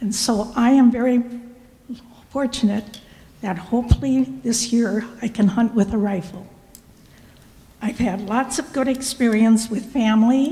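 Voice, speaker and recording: A woman speaks with an Upper Midwest accent at a fairly slow pace, her pitch fairly high and her intonation fairly even. There is noticeable background noise. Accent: Upper Midwest (Minnesota). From Minnesota (Cold Spring). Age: 80s+. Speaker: public commenter. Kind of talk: public comment. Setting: county board meeting.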